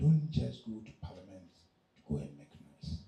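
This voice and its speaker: Somewhat breathy and dark, mellow in tone, a man's voice moves through very wide pitch swings amid audible room echo. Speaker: conference speaker. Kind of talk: speech to youth audience. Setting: conference hall with audience. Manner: slow.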